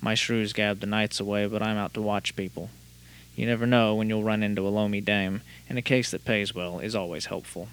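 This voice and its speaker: A man's unremarkable speaking voice at a fairly quick pace. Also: fairly low pitch for a man, fairly even intonation. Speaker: podcast host. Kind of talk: casual podcast chat with hard-boiled noir narration. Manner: casual, chatty, filler-heavy; noir narration: gruff, dry, world-weary private-eye delivery.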